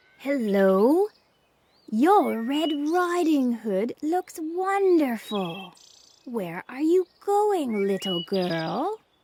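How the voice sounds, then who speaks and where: This female-sounding put-on character voice is high-pitched and very slow. It moves in very wide pitch swings. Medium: read story. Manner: sly, scheming.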